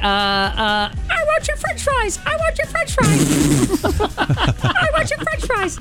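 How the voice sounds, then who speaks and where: Over loud background music, a woman uses a put-on character voice at a very slow pace. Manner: squawky, demanding.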